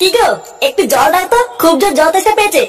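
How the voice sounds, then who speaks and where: A cartoonish character voice rattles along at a very fast pace over faint music in the background. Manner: whiny, self-pitying.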